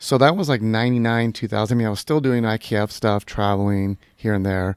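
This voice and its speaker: A man talking at a very fast pace with an American accent, in a dry, close sound with no echo and a very clean recording over a silent background. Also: medium pitch for a man, ordinary pitch variation. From Southern California. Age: 50s. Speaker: kart racer. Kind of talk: casual chat.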